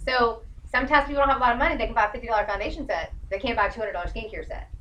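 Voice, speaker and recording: A woman speaks in a raised, projected voice with lively intonation. Noticeable background noise runs underneath. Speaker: direct sales consultant. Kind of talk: workshop talk. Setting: studio with live audience. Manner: fast; animated.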